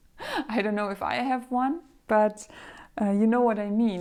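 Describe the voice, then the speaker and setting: Soft-spoken, the speaker keeps a moderate pace with ordinary pitch variation. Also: woman. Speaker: femininity and etiquette coach. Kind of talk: casual talk to camera. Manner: soft-spoken, relaxed.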